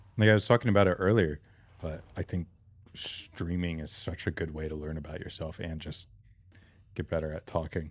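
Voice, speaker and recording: Mumbling at a fairly quick pace, a man with a very deep, low voice and ordinary pitch variation leaves long, frequent pauses, his loudness swinging widely in a very clean recording with a silent background. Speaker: gaming streamer. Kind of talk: live gameplay stream chat.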